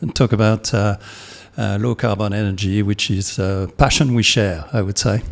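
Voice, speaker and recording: Speaking at a moderate pace with a French accent, a man uses a fairly low pitch with ordinary variation. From France. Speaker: podcast host. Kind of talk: interview. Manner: halting.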